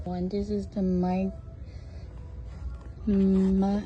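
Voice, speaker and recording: A woman talks very slowly, her words echoing in the room. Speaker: shopping vlogger. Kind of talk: casual store walkthrough vlog. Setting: inside a craft store. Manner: soft-spoken, whispered.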